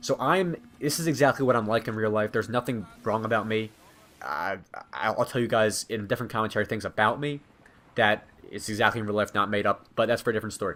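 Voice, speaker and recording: A man talks at a very fast pace. His medium pitch shows ordinary variation. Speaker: gaming commentator. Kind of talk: gameplay commentary. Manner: sounds like reading from a script.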